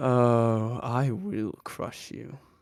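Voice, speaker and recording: This is a put-on character voice. Its pitch sits low to middle. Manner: menacing, boastful.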